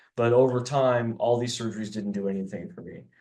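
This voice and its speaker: A man talks at a fairly quick pace with a fairly low pitch. Room echo is audible. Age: 60s. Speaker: drummer. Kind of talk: interview. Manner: halting.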